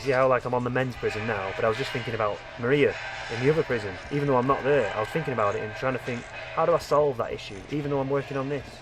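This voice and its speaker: Over noticeable background noise, a man with a medium-pitched voice talks at a very fast pace. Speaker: gaming video creator. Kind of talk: gameplay commentary. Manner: rambling with frequent fillers and repetitions.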